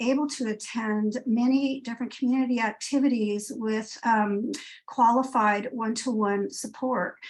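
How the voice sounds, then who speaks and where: A woman's fairly high voice at a moderate pace. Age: 60s. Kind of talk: public comment testimony. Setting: video call. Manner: halting, many fillers.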